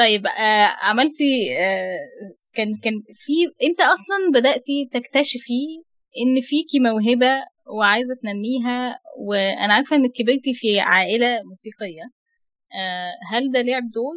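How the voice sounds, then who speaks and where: In an Egyptian accent, a woman with a high pitch and lively intonation speaks at a very slow pace, her sound dry and close with no echo. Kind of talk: interview. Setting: radio studio.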